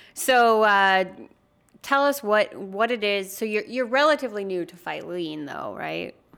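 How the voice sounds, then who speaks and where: In an ordinary speaking voice, a woman of medium pitch talks at a fairly slow pace with lively intonation. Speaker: podcast host. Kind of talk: casual interview conversation.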